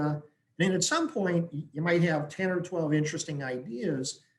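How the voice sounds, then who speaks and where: At a moderate pace, a man speaks in an American accent. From Wisconsin, US Midwest. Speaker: business consultant. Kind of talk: webinar presentation.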